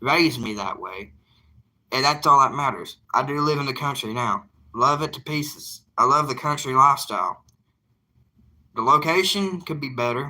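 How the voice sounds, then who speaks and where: This man speaks with a Southern US accent in a bright, sharp tone at a fairly high pitch. His pitch varies in an ordinary way, and he leaves long, frequent pauses. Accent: Southern drawl. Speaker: evangelist YouTuber. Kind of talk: casual live chat.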